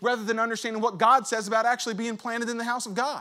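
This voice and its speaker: Raised and projected, a man's voice sounds animated at an extremely high pitch. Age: 30s. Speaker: pastor. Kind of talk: sermon. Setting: church.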